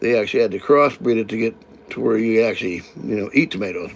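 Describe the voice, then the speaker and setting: Someone talks at a very fast pace with an American accent. The pitch varies in an ordinary way, and there is noticeable background noise. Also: man. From California. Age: 60s. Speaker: live-stream host. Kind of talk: casual live-stream chat. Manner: halting, many repetitions and fillers.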